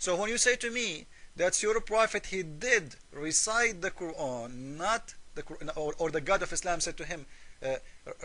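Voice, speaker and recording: A man with a raised, projected voice, high pitch and a bright, sharp tone speaks at a moderate pace with lively intonation. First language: Arabic. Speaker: religious polemic video maker. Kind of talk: argumentative commentary. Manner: halting.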